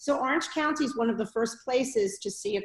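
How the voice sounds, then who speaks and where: A woman is speaking with a New York accent. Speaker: public health school dean. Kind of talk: online talk to alumni.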